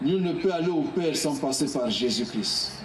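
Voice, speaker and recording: A man is heard over noticeable background noise, with audible room echo around his voice. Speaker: evangelist preacher. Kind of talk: sermon. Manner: slow and calm.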